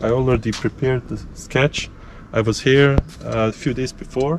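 A man talks at a moderate pace with a dry sound and no echo, while noticeable background noise runs underneath. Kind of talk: casual vlog chat. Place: forest. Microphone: phone near.

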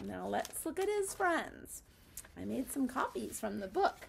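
Through noticeable background noise, a woman speaks at a very slow pace. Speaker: teacher. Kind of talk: craft tutorial for young children. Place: classroom. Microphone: phone near.

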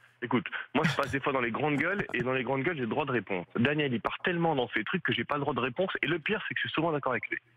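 Noticeable background noise surrounds a man with a fairly high pitch who talks at a very fast pace. His loudness stays very even, and his pitch varies in an ordinary way. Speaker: radio caller, football fan. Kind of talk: call-in opinion.

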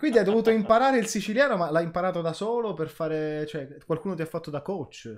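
A man talking very fast, animated and high-pitched, with hardly any pauses, over a quiet background. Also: lively intonation. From Palermo, Sicily; Sicily. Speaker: podcast host. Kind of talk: casual interview chat. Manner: animated, excitable. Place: home room.

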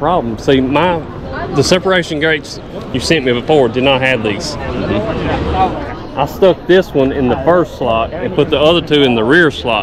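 A man at a fairly slow pace, with clear background noise

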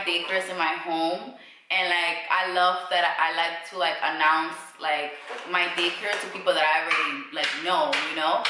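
Amid noticeable background noise and audible room echo, a woman speaks at a moderate pace with long, frequent pauses. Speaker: daycare owner and vlogger. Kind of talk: casual vlog chat. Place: home room.

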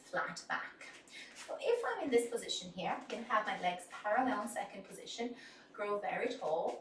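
In a room with audible echo and light background noise, a woman speaks at a moderate pace. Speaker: dance instructor. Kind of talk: tutorial. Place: studio.

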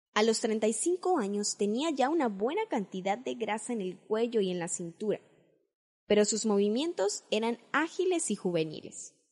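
Over a quiet background, a woman with a fairly high pitch speaks at a fairly slow pace with very wide pitch swings. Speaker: audiobook narrator. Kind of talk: audiobook narration, literary reading. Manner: measured, even narration.

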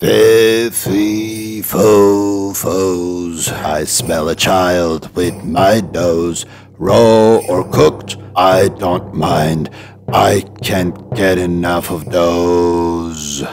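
Someone delivers a put-on character voice at a very slow pace. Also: man, very deep, low pitch for a man. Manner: menacing, booming.

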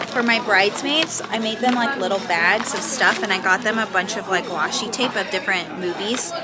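With music playing in the background, the speaker talks at a moderate pace using ordinary pitch variation. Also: woman. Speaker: vlogger. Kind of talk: casual vlog chat. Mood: cheerful and relaxed. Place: cafe. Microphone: phone near.

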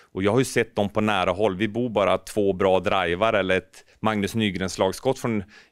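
The man's voice is fairly low and his pace moderate. The sound is dry with no echo, and the background is quiet. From Norrbotten, northern Sweden. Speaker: ice hockey pundit and former goalkeeper coach; ice hockey pundit, former goalkeeper coach. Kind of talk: casual interview. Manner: animated. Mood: relaxed, upbeat. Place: office. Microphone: handheld.

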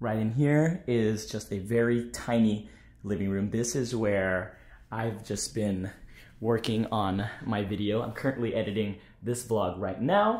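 In a room with audible echo, a man talks fairly slowly in a fairly low pitch with fairly even intonation. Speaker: car vlogger. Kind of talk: casual vlog chat. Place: home room. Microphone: phone near.

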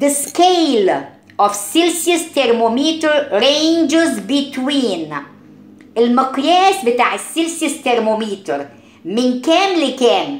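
A woman with an Egyptian accent, high pitch and lively intonation at a very slow pace, amid audible room echo and noticeable background noise. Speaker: science teacher. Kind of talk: lecture. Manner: mixes Arabic and English.

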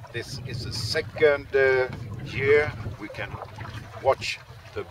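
Loud background noise behind a man speaking, the sound dry with no echo. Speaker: sailor guide. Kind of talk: casual vlog chat. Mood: humorous, relaxed. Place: boat. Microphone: phone near.

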